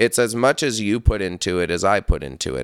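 In an American accent, a man with a fairly low pitch, lively intonation and vocal fry is heard in a very clean recording with a silent background, the sound dry and close with no echo. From upstate New York. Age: 30s. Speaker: metal musician. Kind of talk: casual chat.

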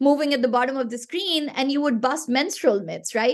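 Speaking in a Pashto accent, a woman uses a high pitch, an animated tone and ordinary pitch variation at a moderate pace. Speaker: game platform founder. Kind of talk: podcast interview.

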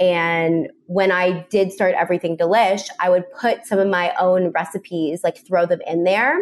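Here a woman speaks in a plain, everyday voice at a medium pitch with fairly even intonation. She goes at a fairly slow pace, with hardly any pauses and very even loudness. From Canada. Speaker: recipe creator, former teacher. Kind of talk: casual interview chat. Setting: video call.

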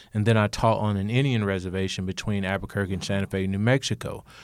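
A man talks at a fairly quick pace with an Alabama accent. His fairly low voice stays monotone, with flat intonation. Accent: Southern US (Alabama). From US South, rural Alabama. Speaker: state legislator and former teacher. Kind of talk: interview.

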